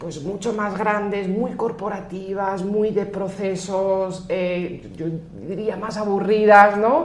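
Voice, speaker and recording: Very slow speech with fairly even intonation, audible room echo, and noticeable background noise. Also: woman, medium pitch for a woman. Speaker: finance executive. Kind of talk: podcast interview. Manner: hesitant, many fillers and restarts.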